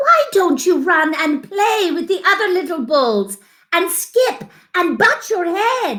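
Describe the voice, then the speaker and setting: A woman's put-on character voice at an extremely high pitch, at a fairly slow pace. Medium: read story. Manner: gentle, encouraging.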